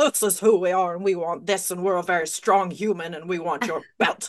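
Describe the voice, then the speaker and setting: This put-on character voice sits at a middle pitch and moves at a fairly quick pace. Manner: mysterious, elusive.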